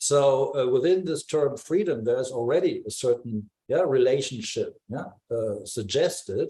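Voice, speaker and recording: A man speaks at a moderate pace with a non-native accent. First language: not English. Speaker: discussion participant in art forum. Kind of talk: group discussion. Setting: video call. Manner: halting, many fillers.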